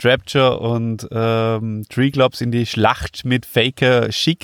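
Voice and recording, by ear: A man at medium pitch speaks slowly with little pitch movement and a clear, smooth tone, the sound dry and close with no echo in a very clean recording with a silent background.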